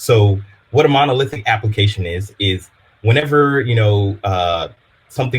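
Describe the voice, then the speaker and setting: With an American accent, a man of fairly low pitch sounds somewhat breathy, talking at a moderate pace with ordinary pitch variation. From Louisiana, US South (Baton Rouge). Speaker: developer advocate. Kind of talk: technical workshop presentation. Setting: live-streamed online meetup. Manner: casual, filler-heavy.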